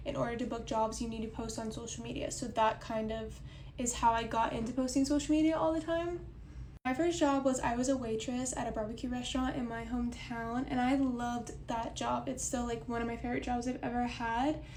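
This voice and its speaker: A very fast delivery with an American accent and fairly even intonation, with audible room echo and noticeable background noise. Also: woman. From Oklahoma. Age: 20s. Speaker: content creator and model. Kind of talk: casual chat. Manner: casual, conversational.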